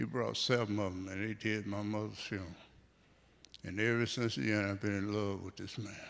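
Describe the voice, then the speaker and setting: A man's fairly low voice at a fairly quick clip, with audible echo in the room. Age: 70s. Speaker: church member, grandparent. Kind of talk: testimony. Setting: church.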